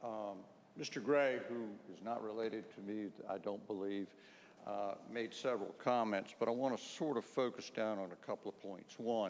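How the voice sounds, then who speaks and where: Speaking at a moderate pace, a man uses a fairly low voice and fairly even intonation. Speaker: attorney for applicant. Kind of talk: public hearing testimony. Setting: town meeting hall. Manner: loud.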